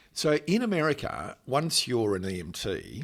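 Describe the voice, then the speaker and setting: Vocal fry and very wide pitch swings at a fairly slow pace, on a very clean recording with a silent background. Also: man. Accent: Australian. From Australia. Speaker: channel host, paramedic. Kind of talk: interview. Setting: hotel.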